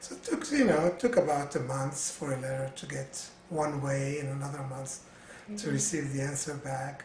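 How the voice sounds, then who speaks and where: Amid noticeable background noise, a man with a fairly high pitch shows big swings in loudness and ordinary pitch variation. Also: moderate pace. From Syria and Lebanon. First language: Arabic. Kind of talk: interview answer. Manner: hesitant, many fillers.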